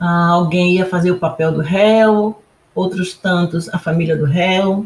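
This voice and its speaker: Somewhat breathy, a woman talks at a fairly slow pace. Her pitch is fairly low and her intonation fairly even. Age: 70s. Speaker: retired federal appellate judge. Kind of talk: testimony.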